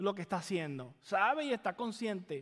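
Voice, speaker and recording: A man with a Caribbean Spanish accent at a moderate pace, his pitch swinging very widely. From Caribbean island. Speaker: pastor. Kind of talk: sermon. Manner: repeats words, halting.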